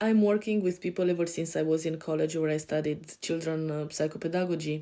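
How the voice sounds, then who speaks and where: With a European accent, a woman speaks at a fairly low pitch in a dark, mellow tone. Her intonation is fairly even and her pace fairly quick. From Romania. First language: Romanian. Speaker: life coach. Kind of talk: podcast self-introduction. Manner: hesitant, many fillers.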